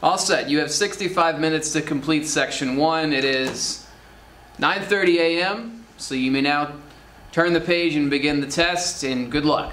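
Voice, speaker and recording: Speaking at a fairly slow pace, a man uses ordinary pitch variation. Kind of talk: formal test instructions. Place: classroom.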